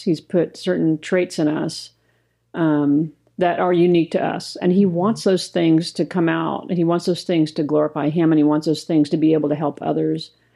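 Using an ordinary speaking voice, a woman speaks at a fairly low pitch and a moderate pace, with very even loudness and fairly even intonation. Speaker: co-host, ministry co-founder. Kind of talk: casual podcast conversation.

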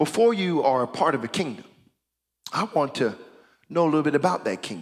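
An animated, fairly high-pitched man at a fairly quick pace, his pitch swinging very widely. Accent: American. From United States. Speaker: pastor. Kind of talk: sermon.

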